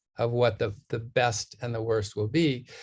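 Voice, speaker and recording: Somewhat breathy, a man speaks at a fairly slow pace. The background is quiet. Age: 60s. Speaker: nutrition scientist, professor. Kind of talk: interview.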